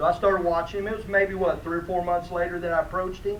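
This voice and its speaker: A high-pitched man's voice with noticeable background noise and audible room echo. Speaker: fishing rod company representative. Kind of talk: award presentation at a conference. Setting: conference room with audience. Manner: loud.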